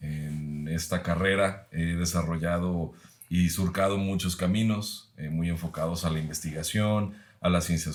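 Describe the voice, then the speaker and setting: Very deep, low male speech, fairly slow and fairly even in intonation, with audible room echo. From Mexico, Guadalajara, Jalisco. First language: Mexican Sign Language (speaking Spanish). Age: 30s. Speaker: professor. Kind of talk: podcast conversation.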